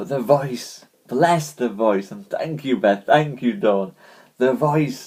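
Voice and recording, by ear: Someone reads aloud in a natural voice, and the intonation is lively.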